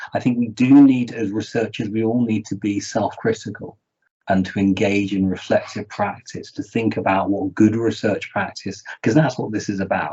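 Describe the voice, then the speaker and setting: A man with a British accent talks at a fairly quick pace, his fairly low voice somewhat breathy. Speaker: research integrity charity representative. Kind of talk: panel presentation. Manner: fast.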